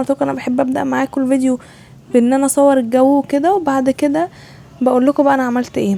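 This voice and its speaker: Over noticeable background noise, a woman talks at a high pitch with an Egyptian accent. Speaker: student vlogger. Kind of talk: casual vlog voiceover.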